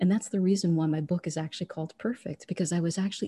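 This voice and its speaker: Against a quiet background, a woman speaks at a fairly low pitch in a somewhat breathy voice with a dark, mellow tone. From born in Trinidad, raised in the United States. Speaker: author and energy healer, former accountant. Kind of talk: interview conversation; guided meditation. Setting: podcast interview.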